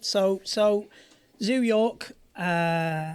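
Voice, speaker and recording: A woman speaks in an English accent. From northern England, Southport. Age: 50s. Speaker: former pro skateboarder. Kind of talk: casual interview chat.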